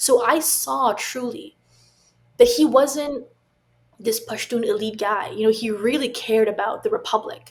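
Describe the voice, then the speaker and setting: Her voice is high, with ordinary pitch variation. This woman talks at a fairly slow pace. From Afghan family, grew up in the West. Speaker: tech founder, former government staffer. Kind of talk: podcast interview. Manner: halting, many repetitions.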